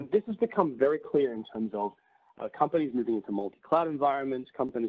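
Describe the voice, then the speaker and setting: Speaking at a very fast pace, a man with a medium-pitched voice sounds dry and close, with no echo. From Australia. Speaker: tech company presenter. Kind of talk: webinar presentation. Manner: frequent fillers and repetitions.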